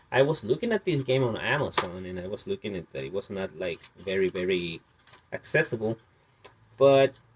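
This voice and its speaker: In a dry, close sound with no echo, the man's pitch makes very wide swings as he talks at a moderate speed. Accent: Spanish. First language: Spanish. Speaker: video game collector. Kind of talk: casual collection showcase. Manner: halting, many fillers.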